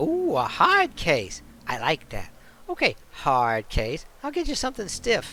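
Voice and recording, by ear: A man does a put-on character voice, high in pitch and fairly slow in pace. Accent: New York.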